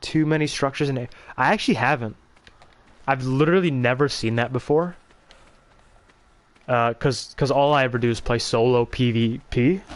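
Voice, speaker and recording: With very even loudness and ordinary pitch variation, a man speaks at medium pitch and a moderate pace, taking long, frequent pauses. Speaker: gaming streamer. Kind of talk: casual livestream chat while gaming.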